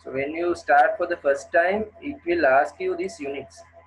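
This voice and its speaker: There is music in the background. A man speaks at a fairly slow pace with ordinary pitch variation. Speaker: engineering lecturer. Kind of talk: lecture. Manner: halting.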